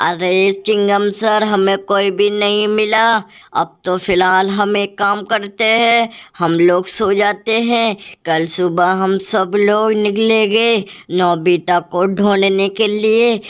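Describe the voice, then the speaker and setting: A woman's put-on character voice at medium pitch, fairly slow and monotone with flat intonation, very even loudness and a quiet background. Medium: machinima. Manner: agreeable, repetitive.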